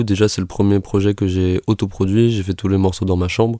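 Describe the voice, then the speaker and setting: Heard on a very clean recording with a silent background, the voice has a dark, mellow tone, fairly even intonation and a moderate pace. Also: man. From France, Toulouse area. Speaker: singer-songwriter. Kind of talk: radio interview. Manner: hesitant, many fillers.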